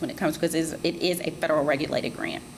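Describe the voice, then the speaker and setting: Noticeable background noise is present behind the speaker. She is a woman with a fairly low pitch. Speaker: grant program presenter. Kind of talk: public information session presentation. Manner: fast.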